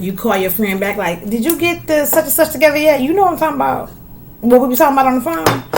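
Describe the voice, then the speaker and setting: Amid audible room echo and noticeable background noise, a high-pitched woman talks at a very fast pace in an animated tone with very wide pitch swings. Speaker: podcast host. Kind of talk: casual chat.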